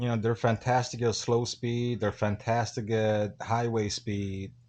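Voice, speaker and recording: The speaker is a man with a medium pitch. He goes at a fairly unhurried pace. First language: not English. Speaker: motorcycle vlogger. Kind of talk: casual interview.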